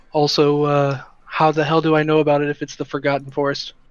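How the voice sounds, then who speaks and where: A man puts on a raspy character voice, fairly high in pitch, delivered in a flat monotone at a fairly quick pace. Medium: actual play. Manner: grumpy, sarcastic.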